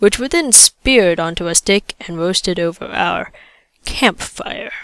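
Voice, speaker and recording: A woman with an ordinary speaking voice talks at a fairly slow pace and medium pitch. Her intonation is lively, and the sound is dry and close with no echo. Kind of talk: audiobook reading.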